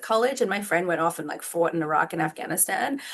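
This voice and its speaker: A woman speaks in an Australian accent. Her pitch is medium and her tone bright and sharp. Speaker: law professor. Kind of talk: podcast interview. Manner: casual, many fillers.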